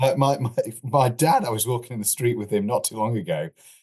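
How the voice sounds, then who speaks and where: A man with an East Midlands accent talks fairly quickly at a medium pitch, with vocal fry. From Lincolnshire, England. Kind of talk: interview answer.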